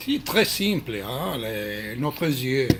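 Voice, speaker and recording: Talking at a very slow pace with a non-native accent, a man has medium pitch amid noticeable background noise. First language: not French (speaking French). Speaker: Krav Maga instructor. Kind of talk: video address. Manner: halting, many hesitations.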